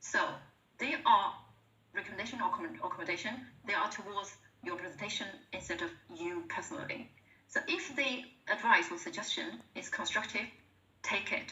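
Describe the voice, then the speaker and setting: A woman with a Chinese accent speaks at a fairly quick pace, broken by long, frequent pauses. The room echo is audible and there is noticeable background noise. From China. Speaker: presentation skills speaker at work webinar. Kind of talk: workplace webinar presentation. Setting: online video call webinar. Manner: halting, repeats words.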